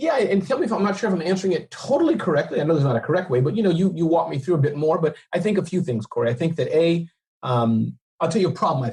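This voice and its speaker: Energetic and very fast, a man talks at a high pitch with lively intonation. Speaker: entrepreneur and speaker. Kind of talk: podcast interview. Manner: unpolished, energetic.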